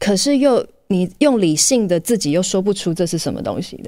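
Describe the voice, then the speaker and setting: Her pitch swings very widely. This woman keeps a moderate pace. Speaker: podcast host. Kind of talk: solo podcast monologue.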